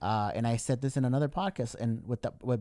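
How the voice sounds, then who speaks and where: Speaking fairly quickly, a man with a medium-pitched, dark, mellow voice is captured in a very clean, dry, close recording with no echo and a silent background. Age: 30s. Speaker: podcast host and sports photographer. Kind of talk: casual chat.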